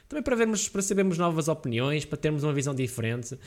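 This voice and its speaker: Very wide pitch swings mark this man's speech. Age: 20s. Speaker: podcast host and gaming streamer. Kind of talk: casual solo monologue. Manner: hesitant, many fillers.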